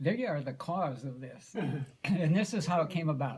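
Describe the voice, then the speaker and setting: A man speaks with a Midwestern American accent. His voice is somewhat breathy. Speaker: grandfather. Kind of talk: family storytelling.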